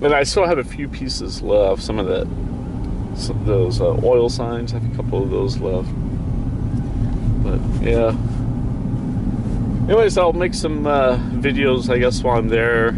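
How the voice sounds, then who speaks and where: Over loud background noise, a man talks at a moderate pace with long, frequent pauses, and the sound is dry with no echo. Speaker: radio hobbyist. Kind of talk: casual vlog chat. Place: car. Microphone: phone near.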